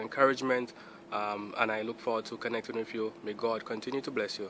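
At a fairly quick pace, a man talks with a fairly bright tone, a medium pitch and fairly even intonation.

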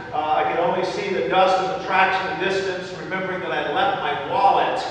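A man's high-pitched, monotone, flat delivery with strong room echo and light background noise. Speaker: pastor. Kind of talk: sermon. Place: church.

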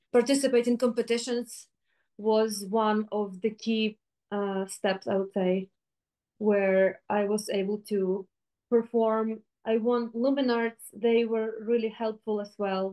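The voice has a dark, mellow tone and a monotone, flat intonation. It moves at a very slow pace over a quiet background. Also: woman. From Ukraine. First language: Ukrainian. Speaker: flutist. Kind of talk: interview. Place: home room.

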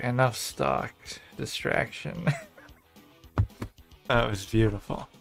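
With music in the background, a man of medium pitch speaks at a very slow pace, with very wide pitch swings and long, frequent pauses. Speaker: streamer. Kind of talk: gaming commentary. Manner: soft-spoken.

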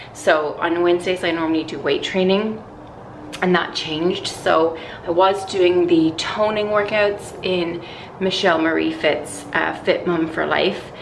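A woman with a fairly low pitch talks fairly slowly in a monotone, flat way. Background noise is noticeable. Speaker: lifestyle vlogger. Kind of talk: casual vlog chat. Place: home room. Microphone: phone near.

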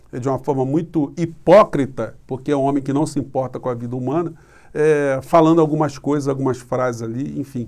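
A man at a fairly quick pace, ordinary pitch variation, and a quiet background. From Brazil. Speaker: political commentator YouTuber. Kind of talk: political commentary monologue. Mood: critical, indignant. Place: home room. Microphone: phone near.

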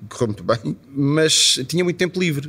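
His is an ordinary speaking voice, with ordinary pitch variation. The man's pace is moderate. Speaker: musician and club owner. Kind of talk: interview. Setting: at his club venue.

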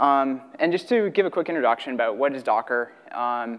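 A quiet background behind a man at a moderate speed. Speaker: conference presenter. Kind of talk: technical talk. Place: hall. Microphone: podium.

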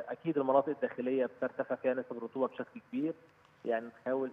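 At a fairly quick pace, a man talks in a normal speaking voice, medium in pitch with fairly even intonation. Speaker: meteorologist. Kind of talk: phone interview. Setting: phone call.

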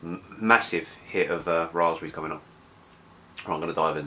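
A man talks at a fairly quick pace with a low pitch. His tone is bright and sharp, and his intonation stays fairly even.

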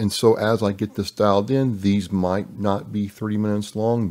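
A man with a normal speaking voice and fairly low pitch talks at a fairly slow pace with fairly even intonation, over a quiet background. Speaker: podcast host. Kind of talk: casual podcast monologue. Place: home room. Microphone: studio mic.

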